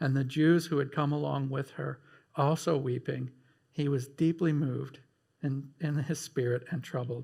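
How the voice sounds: Just a natural reading voice.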